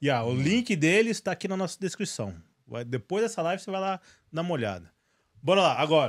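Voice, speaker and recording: A man with a high voice talks at a very fast pace, his lively intonation broken by long, frequent pauses against a quiet background. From Brazil. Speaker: podcast host. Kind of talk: sponsor read. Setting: studio livestream. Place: studio. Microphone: studio mic.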